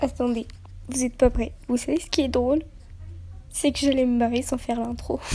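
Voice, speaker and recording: A soft-spoken woman talks at a moderate pace. Her loudness swings widely. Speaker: youtuber. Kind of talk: casual vlog intro.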